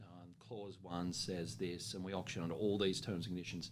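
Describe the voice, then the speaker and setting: The tone is confident. The pace is moderate. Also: man. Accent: Australian. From Australia. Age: young. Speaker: auctioneer. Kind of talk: interview answer about auctioneering. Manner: confident, conversational.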